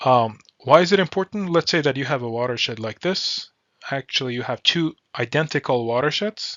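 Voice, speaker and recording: A man with a non-native accent, fairly high pitch, lively intonation and a moderate pace. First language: not English. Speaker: hydrology professor. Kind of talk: lecture. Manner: halting, with fillers.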